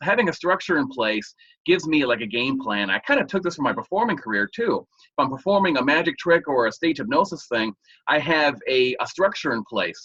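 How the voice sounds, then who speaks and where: Vocal fry runs through this speech, which moves at a fairly quick pace. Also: man, fairly high pitch for a man. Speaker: hypnotist. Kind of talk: interview. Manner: halting.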